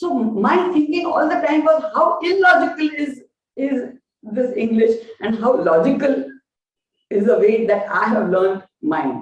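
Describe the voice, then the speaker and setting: A high-pitched woman with a Gujarati accent at a fairly slow pace, with very wide pitch swings and audible room echo. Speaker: professor. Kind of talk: lecture. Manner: halting, frequent fillers.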